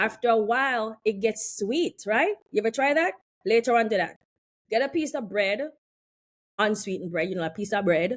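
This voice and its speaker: Speaking with a slight West Indian accent, a woman uses a fairly high pitch, lively intonation and an animated tone at a moderate pace, captured on a very clean recording with a silent background. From West Indies. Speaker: health and wellness practitioner. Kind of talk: casual chat.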